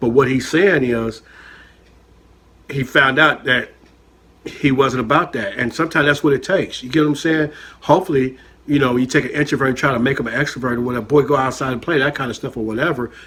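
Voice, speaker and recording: A loud, very fast American-accented man's voice, fairly high-pitched, bright and sharp, with fairly even intonation. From San Francisco Bay Area (Richmond, California). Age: 50s. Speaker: chef and reaction channel host. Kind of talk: casual reaction commentary, personal testimony. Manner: conversational, filler-heavy.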